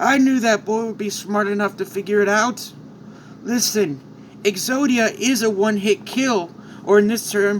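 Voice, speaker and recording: Over clear background noise, a man in a put-on character voice speaks at a high pitch and moderate pace with fairly even intonation. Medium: read story.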